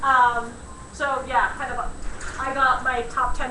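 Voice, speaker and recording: A woman at a high pitch with ordinary pitch variation, amid noticeable background noise and audible room echo. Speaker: attorney and conference speaker. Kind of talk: conference talk.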